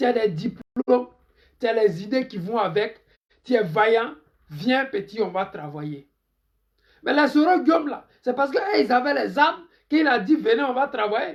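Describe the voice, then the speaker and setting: A man speaks at an extremely high pitch. His voice moves in very wide pitch swings. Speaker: political commentator. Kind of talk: live stream political commentary. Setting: Facebook live stream.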